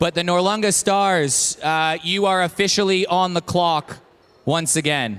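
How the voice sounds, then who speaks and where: A man speaks at a high pitch and a fairly slow pace. His pitch varies an ordinary amount, and his loudness stays very even. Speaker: draft event host. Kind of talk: live event announcing. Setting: brewery venue with live audience.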